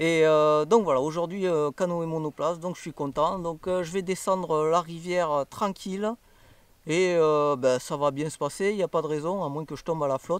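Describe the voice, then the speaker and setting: A man talks at a moderate pace in a fairly high pitch with fairly even intonation, recorded with a dry, close sound and no echo. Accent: southwestern French. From southwest France, Toulouse. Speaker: travel vlogger. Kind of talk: casual travel vlog. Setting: outdoors, in a canoe on a river. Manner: hesitant, many filler sounds.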